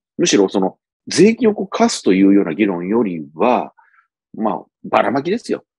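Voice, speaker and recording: Moving at a fairly quick pace, a man's voice swings very widely in pitch, recorded dry with no echo against a quiet background. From Japan. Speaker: policy commentator, former bureaucrat; political commentator. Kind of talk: solo commentary monologue. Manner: conversational with many fillers. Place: home room. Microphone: earbuds.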